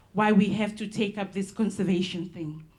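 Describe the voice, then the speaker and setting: This woman has a dark, mellow, somewhat breathy tone at a medium pitch. She talks at a moderate pace with fairly even intonation, and room echo is audible. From Solomon Islands, Malaita. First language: Solomon Islands local language. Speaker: conservation ranger. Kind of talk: conference presentation. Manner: halting, many fillers.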